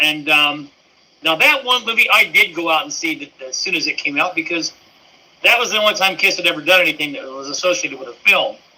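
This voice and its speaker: A man's high-pitched, very fast voice with very wide pitch swings and big swings in loudness, over noticeable background noise. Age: 60s. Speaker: fan club co-founder and teacher. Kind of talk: casual interview.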